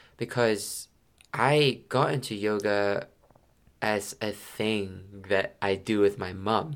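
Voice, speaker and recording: Very slow speech from a man, fairly low in pitch, with fairly even intonation. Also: very clean recording, silent background. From Malaysia. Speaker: yoga teacher. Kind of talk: casual chat.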